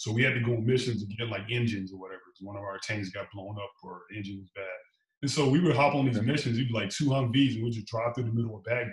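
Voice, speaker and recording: A man speaks very fast and somewhat breathily, with ordinary pitch variation and big swings in loudness, with audible room echo against a quiet background. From Chicago. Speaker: police officer. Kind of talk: casual interview. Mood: relaxed storytelling. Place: home room. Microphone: video call.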